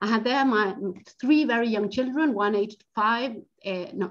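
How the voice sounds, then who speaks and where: A woman with a Spanish accent, her pitch fairly high and her pace fairly slow. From Argentina. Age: 40s. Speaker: educational psychologist and financial coach. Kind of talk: webinar talk. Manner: halting, with repetitions.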